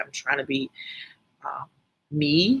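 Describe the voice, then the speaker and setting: A soft-spoken woman with a bright, sharp tone, a very deep, low pitch, a fairly slow pace and a Virgin Islands accent. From US Virgin Islands, St Thomas. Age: 40s. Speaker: life and finance coach. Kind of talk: casual live stream talk. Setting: live video stream.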